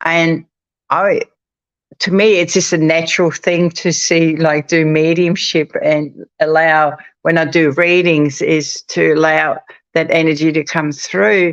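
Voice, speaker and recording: In an ordinary speaking voice, a woman talks at a fairly low pitch and fairly slow pace, her loudness very even and her intonation fairly even, in a dry, close recording with no echo. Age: 60s. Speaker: psychic medium. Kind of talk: casual chat. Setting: live stream.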